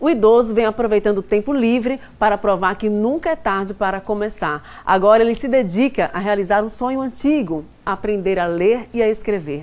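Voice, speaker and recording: Speaking at a moderate pace with hardly any pauses, a woman uses a fairly high pitch with ordinary variation. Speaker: TV news anchor. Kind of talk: TV news introduction. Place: studio.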